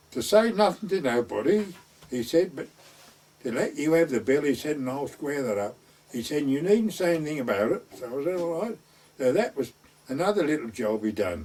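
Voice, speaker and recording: A man with an East Anglian accent talks at a fairly quick pace. His fairly high pitch rises and falls in very wide swings. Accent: rural East Anglian dialect. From North Essex / West Suffolk border. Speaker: gamekeeper and gardener, traditional storyteller. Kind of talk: oral history storytelling.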